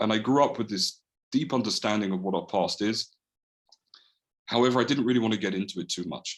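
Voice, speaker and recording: With a London accent, a man of fairly low pitch talks at a very fast pace yet leaves long, frequent pauses, his pitch varying in an ordinary way. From London, England (Edgware). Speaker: holocaust remembrance activist. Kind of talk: presentation talk. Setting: video call.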